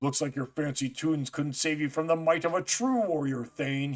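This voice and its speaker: A man in a put-on character voice, fairly high in pitch, with ordinary pitch variation and a moderate pace. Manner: taunting, triumphant.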